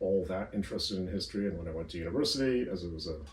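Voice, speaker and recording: A man with a North American accent, a dark, mellow tone, a fairly low pitch, a somewhat breathy sound, ordinary pitch variation and a very fast pace. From northern US. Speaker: history academic. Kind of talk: interview. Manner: hesitant, many fillers.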